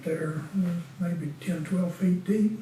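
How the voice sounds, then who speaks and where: A man with a Southern US accent and a high pitch speaks at a fairly slow pace amid audible room echo and noticeable background noise. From Western North Carolina (Winston-Salem). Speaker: retired deacon. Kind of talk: oral history interview. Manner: halting.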